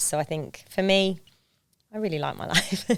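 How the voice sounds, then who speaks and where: In an English accent, a woman speaks with fairly even intonation over music in the background. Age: 30s. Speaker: Paralympic skier turned police officer and financial planner. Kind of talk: podcast interview.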